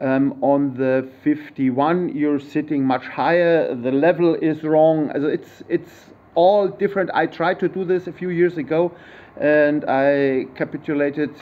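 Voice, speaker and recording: A man with a German accent, fairly high in pitch, at a fairly slow pace with fairly even intonation. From Germany. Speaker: YouTuber, vehicle modder. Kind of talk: tutorial. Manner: halting.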